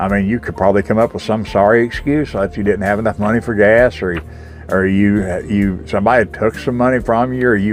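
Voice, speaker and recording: Someone talks at a very fast pace in a Southern US accent, with music playing in the background. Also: man. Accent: US South. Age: 60s. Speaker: recovering alcoholic sharing faith testimony. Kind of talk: spoken testimony. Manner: halting, with many repetitions and fillers.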